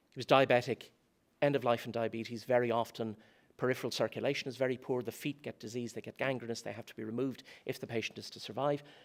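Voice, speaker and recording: With a Dublin accent, a man at medium pitch talks very fast in a flat monotone, his loudness swinging widely on a very clean recording with a silent background. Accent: Dublin Irish. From Ireland, Dublin. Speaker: philosophy lecturer. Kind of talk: conference talk. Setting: conference stage with audience.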